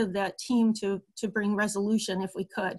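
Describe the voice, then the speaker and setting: Somewhat breathy and fairly high in pitch, a woman speaks at a moderate pace with fairly even intonation. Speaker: long-term care ombudsman. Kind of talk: webinar presentation.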